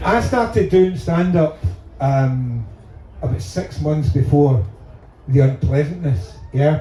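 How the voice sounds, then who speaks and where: A man with a Glaswegian accent speaks very slowly, with long, frequent pauses. His fairly high voice shows very wide pitch swings. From Scotland, Glasgow. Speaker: stand-up comedian. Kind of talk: stand-up. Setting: stage with audience.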